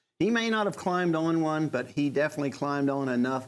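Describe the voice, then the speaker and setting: On a very clean recording with a silent background, an unremarkable speaking voice talks fairly quickly, its pitch varying in an ordinary way. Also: man. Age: 60s. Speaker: rodeo association president. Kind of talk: casual chat.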